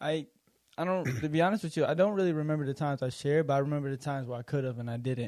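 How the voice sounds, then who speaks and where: A man's fairly high voice at a very fast pace, ordinary pitch variation, and long, frequent pauses. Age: 20s. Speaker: podcast host. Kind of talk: casual faith discussion. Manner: playful, laughing at times.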